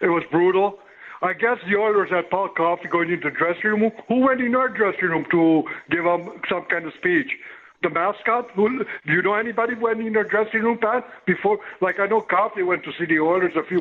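There is noticeable background noise as a man talks fairly quickly at a high pitch with ordinary pitch variation. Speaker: caller. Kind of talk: casual chat. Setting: phone call. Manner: rambling.

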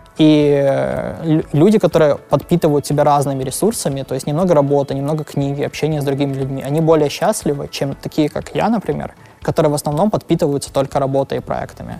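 Over music in the background, a man with a fairly high voice talks at a very fast pace with ordinary pitch variation. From Ukraine (Lviv). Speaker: product manager and startup co-founder. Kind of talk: interview. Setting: office. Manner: halting.

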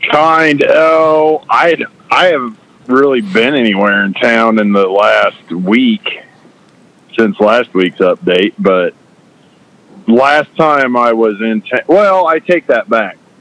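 Over noticeable background noise, a man with an American accent speaks very slowly at medium pitch, his loudness very even and his pitch swinging very widely, in a dry, close sound with no echo. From southeast Nebraska. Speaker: ag equipment salesman.

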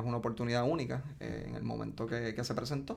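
Fairly quick speech from a man, medium in pitch. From Puerto Rico, Ponce. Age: 30s. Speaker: entrepreneur, cannabis dispensary CEO. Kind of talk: interview, casual chat. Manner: halting, with fillers.

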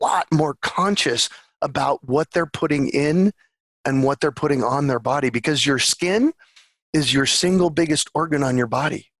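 The dry, close recording, with no echo, captures a man in a normal speaking voice, fairly high in pitch with ordinary pitch variation. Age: 50s. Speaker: urban farmer and permaculture advocate. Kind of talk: interview.

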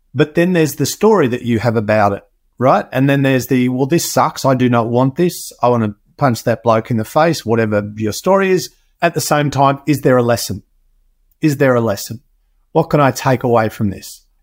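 A man with an Australian accent speaks at a fairly quick pace and a medium pitch, with ordinary pitch variation, on a very clean recording with a silent background. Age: 50s. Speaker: health and performance expert, podcaster. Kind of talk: interview conversation.

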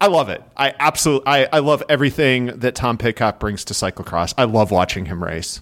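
With a Midwestern US accent, a man speaks at a medium pitch with hardly any pauses. His intonation is lively. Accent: Midwestern US, nasal. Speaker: cyclocross analyst and writer. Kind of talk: casual chat.

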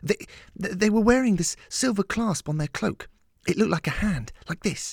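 A man does a put-on character voice, high-pitched with vocal fry, lively intonation and a moderate pace. The recording is very clean, with a silent background and a dry, close sound with no echo.

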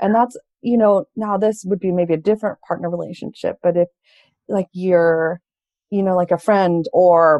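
A woman with an American accent talks at a fairly quick pace and medium pitch, with ordinary pitch variation. It is a plain, everyday voice. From California. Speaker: mental health counselor. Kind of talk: interview conversation.

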